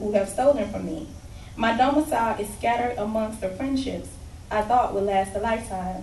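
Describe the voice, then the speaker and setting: A woman with a Southern US accent speaks at a moderate pace with ordinary pitch variation. Her pitch is fairly high, and the room echo is audible. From Alabama. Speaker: spoken word poet. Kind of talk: poetry performance. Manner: loud.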